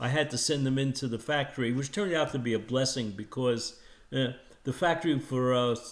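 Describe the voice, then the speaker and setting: Fairly even intonation from a man, medium in pitch and moderate in pace. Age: 60s. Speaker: hearing aid customer, retired-age salesman. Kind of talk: testimonial. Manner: halting, many fillers.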